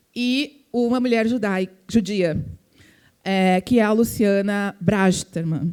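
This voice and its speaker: Very slow speech from a woman with a strong gaúcho accent, medium pitch and ordinary pitch variation. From southern Brazil, Porto Alegre. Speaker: philanthropy foundation representative. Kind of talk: panel talk. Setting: event with audience.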